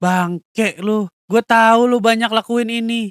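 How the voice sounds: In a put-on character voice, a man talks slowly at an extremely high pitch with fairly even intonation and a fairly bright, clear, smooth tone, the sound dry and close with no echo in a very clean recording with a silent background.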